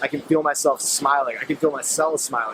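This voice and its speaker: Noticeable background noise under a man's fairly high voice. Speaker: meditation and self-help vlogger. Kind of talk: casual talk to camera. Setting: outdoors at sunset, filmed by a friend. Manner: fast.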